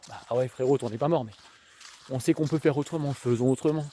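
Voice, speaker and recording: A man's medium-pitched voice at a very fast pace, with fairly even intonation and a dry, close sound with no echo. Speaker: youtuber, social work commentator. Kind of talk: casual vlog monologue. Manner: casual, hesitant with many fillers.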